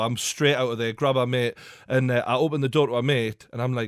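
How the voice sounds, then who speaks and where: A man talks in a Geordie accent at a fairly quick pace. His intonation is fairly even. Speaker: podcast host. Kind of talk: casual podcast conversation.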